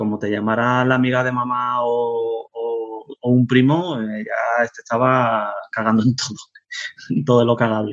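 With monotone, flat intonation and a medium pitch, a man talks at a fairly slow pace. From Spain, Canary Islands (Tenerife). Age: 40s. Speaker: web developer. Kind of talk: casual interview.

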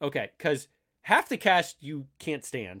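A man's bright, sharp tone comes through in a very clean recording with a silent background. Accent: American. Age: 30s. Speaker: podcast co-host, author. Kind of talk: casual chat.

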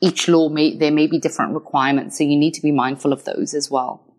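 The speaker has a slight Scottish accent, and the recording is very clean with a silent background. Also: woman. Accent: slightly Scottish. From Wales. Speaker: lawyer. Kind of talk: interview.

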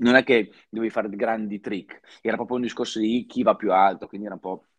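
A man speaks at a fairly quick pace in a fairly low, monotone, flat voice, with a dry, close sound, no echo and a quiet background. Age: 30s. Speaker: professional snowboarder. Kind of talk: casual chat.

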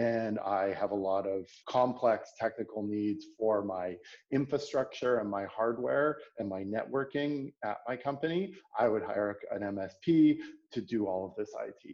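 A dark, mellow tone with a Canadian accent, a fairly slow pace and ordinary pitch variation. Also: man. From Canada, Toronto. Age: 30s. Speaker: product executive. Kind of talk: interview conversation.

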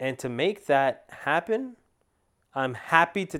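A man's normal speaking voice, fairly slow with lively intonation, on a very clean recording with a silent background. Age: 30s. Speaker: podcast host; lawyer. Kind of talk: solo monologue podcast. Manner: casual, many fillers and restarts.

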